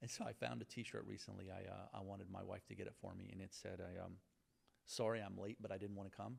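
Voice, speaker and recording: Vocal fry marks this man's fairly low voice as he talks at a very fast pace with ordinary pitch variation. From Lebanon, raised in southwestern Virginia. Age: 50s. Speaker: attorney, entrepreneur and law professor. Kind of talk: interview. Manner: halting, many fillers.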